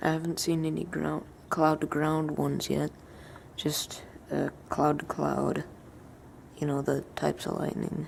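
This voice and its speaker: A woman speaks quietly. She leaves long, frequent pauses. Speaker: outdoor vlogger. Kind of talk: casual vlog narration. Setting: outdoors at night in a thunderstorm. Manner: quiet, hushed.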